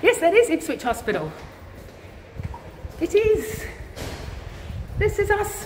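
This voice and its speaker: A woman with an extremely high pitch and ordinary pitch variation speaks at a fairly slow pace, with long, frequent pauses and noticeable background noise. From Australia. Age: 40s. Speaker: vlogger, cancer patient and nurse. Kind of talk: casual live-stream chat. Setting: hospital, walking through corridors. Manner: loud.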